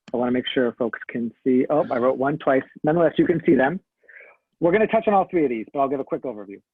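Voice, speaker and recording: Talking at a very fast pace, a man uses a fairly high pitch. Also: lively intonation. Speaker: school staff leading parent meeting. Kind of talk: online meeting facilitation.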